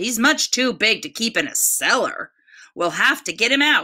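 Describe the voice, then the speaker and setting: Using a put-on character voice, a woman with a high pitch speaks at a moderate pace with lively intonation. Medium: read story.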